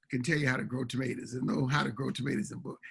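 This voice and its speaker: Talking at a very fast pace, a man has a bright, sharp tone with vocal fry. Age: 70s. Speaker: urban farmer and author. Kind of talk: interview. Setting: town hall interview.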